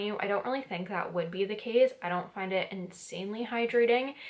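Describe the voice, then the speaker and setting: A woman is talking. Noticeable noise sits in the background. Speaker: beauty vlogger. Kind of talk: product review vlog. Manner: soft-spoken.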